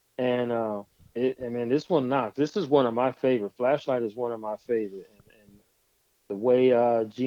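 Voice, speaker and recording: Speaking at a moderate pace and medium pitch with fairly even intonation, a man with an American accent has an unremarkable speaking voice. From California (Stockton). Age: 50s. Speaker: DJ. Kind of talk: casual interview.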